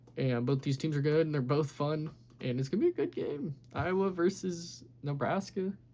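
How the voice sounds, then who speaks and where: A somewhat breathy man speaks in a dark, mellow tone at a fairly high pitch, with ordinary pitch variation. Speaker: sports YouTuber. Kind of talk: casual sports recap monologue. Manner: fast.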